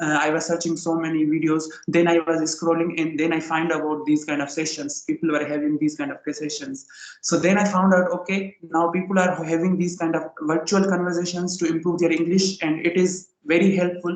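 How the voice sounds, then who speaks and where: A man with a Sindhi accent talks at a fairly quick pace in a high pitch with monotone, flat intonation. Noticeable background noise runs through the clip. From Pakistan, Sindh. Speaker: English learner. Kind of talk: casual chat. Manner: halting.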